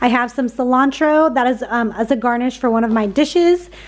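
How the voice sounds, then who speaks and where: At a moderate pace, a woman speaks in an upbeat tone, high in pitch with ordinary variation, over noticeable background noise. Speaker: grocery haul vlogger. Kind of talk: casual vlog show-and-tell. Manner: chatty, upbeat.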